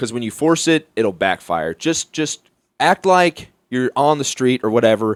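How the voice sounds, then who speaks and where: In a very clean, dry, close recording with a silent background and no echo, a man with an American accent speaks at a medium pitch and moderate pace, his pitch swinging very widely. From Mobile, Alabama. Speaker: stand-up comedian. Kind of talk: podcast interview answer. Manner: casual, profane.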